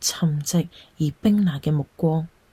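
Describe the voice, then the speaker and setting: A woman's fairly low, somewhat breathy voice with a dark, mellow tone, in a Cantonese accent. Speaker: storyteller. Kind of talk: read story narration.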